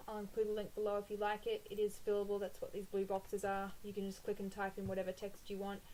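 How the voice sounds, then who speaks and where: A woman with an Australian accent at a fairly quick pace. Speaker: planner printables shop owner and blogger. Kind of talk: tutorial. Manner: casual, with frequent 'um' fillers.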